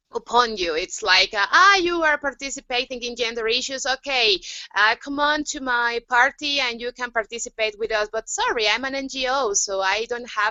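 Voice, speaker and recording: Lively intonation in a Spanish accent, with hardly any pauses. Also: woman, high pitch for a woman, moderate pace. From Mexico. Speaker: youth activist. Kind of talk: panel discussion. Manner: halting, many fillers.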